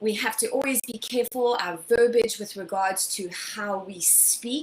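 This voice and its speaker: Noticeable background noise sits behind a woman whose pitch varies in an ordinary way. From South Africa. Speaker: skincare educator. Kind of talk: webinar lecture. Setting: live online broadcast.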